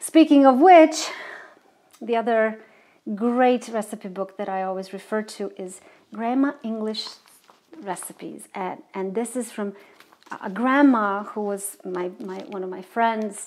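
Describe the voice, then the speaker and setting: A woman with a Croatian accent at a fairly high pitch and fairly slow pace, with long, frequent pauses, big swings in loudness and ordinary pitch variation. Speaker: singer and web show host. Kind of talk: inspirational reflection; casual cooking show talk. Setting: home kitchen. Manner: halting, many fillers.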